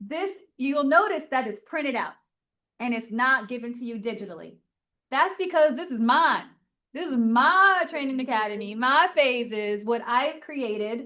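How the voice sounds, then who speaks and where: Raising and projecting her high voice, a woman speaks in a bright, sharp tone with lively intonation. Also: big swings in loudness. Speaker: trainer. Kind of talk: training presentation. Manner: fast.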